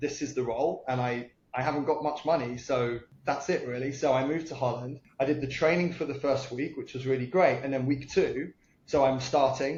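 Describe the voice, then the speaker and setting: With a British accent, a man speaks at a moderate pace in a fairly high, somewhat breathy voice. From UK. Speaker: entrepreneur. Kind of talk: podcast interview. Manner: occasional hesitations and fillers.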